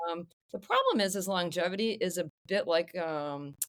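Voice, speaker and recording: A woman's ordinary speaking voice at medium pitch with lively intonation, on a very clean recording with a silent background. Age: 50s. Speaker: longevity medicine physician. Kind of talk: podcast interview.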